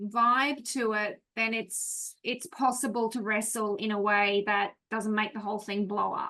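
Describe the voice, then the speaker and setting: With an Australian accent, a woman speaks at a fairly slow pace in a fairly high, bright, sharp voice with fairly even intonation. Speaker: class participant. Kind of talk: class discussion.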